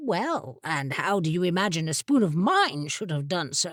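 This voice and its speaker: Using a put-on character voice, a woman speaks at a moderate pace with a fairly low pitch. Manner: testy, irritated.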